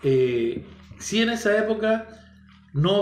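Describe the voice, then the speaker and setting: A man with a Chilean accent speaks with lively intonation, amid noticeable background noise and audible room echo. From Chile, San Fernando. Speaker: podcast guest, teacher. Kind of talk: casual chat. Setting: home studio, his house.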